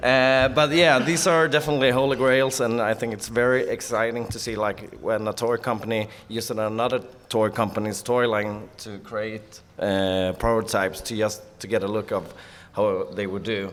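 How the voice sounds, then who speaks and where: A man with a Swedish accent speaks at medium pitch and a moderate pace. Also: ordinary pitch variation. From Sweden. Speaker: toy collector panelist. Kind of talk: convention panel presentation.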